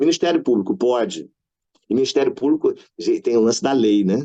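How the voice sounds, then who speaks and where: A man's dark, mellow tone, lively intonation, and fairly quick pace. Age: 60s. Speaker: care home manager and elder-rights council member. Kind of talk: round-table panel talk. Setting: live-streamed online panel. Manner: casual, colloquial with slang and filler.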